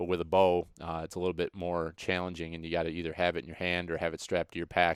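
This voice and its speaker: In a very clean recording with a silent background and a dry, close sound with no echo, a man with an American accent speaks in a monotone, flat intonation at a very deep, low pitch. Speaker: podcast host. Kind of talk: podcast sponsor read, casual. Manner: halting with many fillers.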